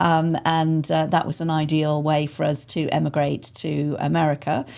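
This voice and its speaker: Here a woman speaks with an English accent at a very deep, low pitch. The recording is very clean, with a silent background. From England. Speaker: arts center executive director. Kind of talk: podcast interview. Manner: hesitant, many fillers.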